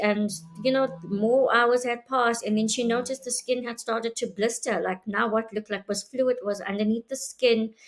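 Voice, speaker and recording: Over music in the background, a woman talks at a moderate pace with hardly any pauses, her fairly high voice keeping a fairly even intonation. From South Africa, Johannesburg. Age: 30s. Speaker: interviewee sharing life story. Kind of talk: testimony. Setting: live video stream.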